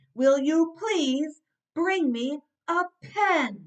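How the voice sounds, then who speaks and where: Using a put-on character voice, a woman speaks in a high pitch. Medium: read story. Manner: patient, repeating.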